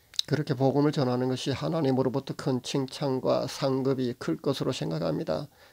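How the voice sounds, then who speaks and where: Lively in intonation, a man speaks at medium pitch in a dark, mellow tone. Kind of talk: religious monologue to camera. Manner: halting, stumbling speech.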